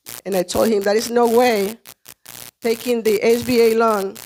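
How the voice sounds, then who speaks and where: In a Spanish accent, a woman with a fairly high pitch speaks at a moderate pace with fairly even intonation. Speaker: small business owner, restaurant owner. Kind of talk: testimony.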